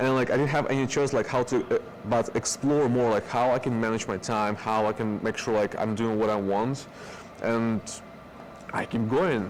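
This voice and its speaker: Music plays in the background as a man speaks at a moderate pace and medium pitch. His intonation is fairly even and his loudness very even. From Belarus. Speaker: productivity trainer. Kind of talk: interview. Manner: halting.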